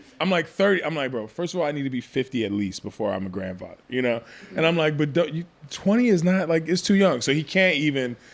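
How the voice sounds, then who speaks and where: Talking at a very fast pace, a man with a fairly high voice makes very wide pitch swings. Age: 30s. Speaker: realtor and podcast host. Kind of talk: casual chat. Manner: casual, slangy.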